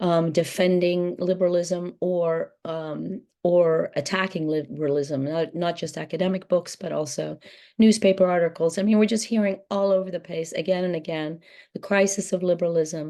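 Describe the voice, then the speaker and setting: A woman speaks at a moderate pace with fairly even intonation and a fairly low pitch. Her tone is dark and mellow, set against a quiet background. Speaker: author and interviewer. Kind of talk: book talk conversation. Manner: halting, many fillers.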